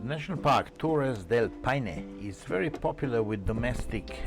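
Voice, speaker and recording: With music in the background, a man speaks very slowly in a Slovenian accent. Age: 50s. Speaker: motorcycle travel vlogger. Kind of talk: travel vlog narration. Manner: upbeat, humorous.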